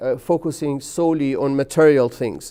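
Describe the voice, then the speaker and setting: With a Persian accent and a dark, mellow tone, a man speaks at a moderate pace with fairly even intonation in a very clean recording with a silent background. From Iran, Tehran. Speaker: chemistry professor. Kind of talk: interview. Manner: hesitant, frequent uh fillers.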